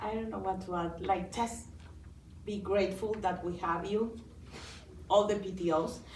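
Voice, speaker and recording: A woman with a non-native accent speaks at a moderate pace and medium pitch, in a monotone, flat delivery with long, frequent pauses. Audible room echo surrounds her voice. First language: not English. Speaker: school board candidate. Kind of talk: candidate forum answer.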